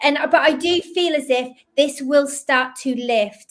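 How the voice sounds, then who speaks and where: A woman's fairly slow speech with ordinary pitch variation and a slight Scottish accent. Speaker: psychic medium. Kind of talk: live psychic reading. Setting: live stream.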